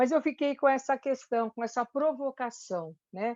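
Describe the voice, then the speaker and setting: Over a quiet background, with a dry, close sound and no echo, a woman talks at a moderate pace with ordinary pitch variation. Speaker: church speaker on anxiety and fear. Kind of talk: talk in a church meeting. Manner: halting, many fillers and restarts.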